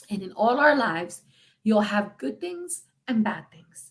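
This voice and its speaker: Her voice is fairly high and somewhat breathy as this woman speaks. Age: 50s. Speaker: freestyle singer. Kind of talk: casual livestream chat. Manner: halting.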